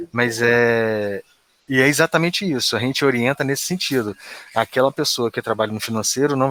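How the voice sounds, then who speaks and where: This man's voice has a bright, sharp tone and ordinary pitch variation, recorded with a dry, close sound and no echo. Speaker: internal control adviser. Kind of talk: work meeting.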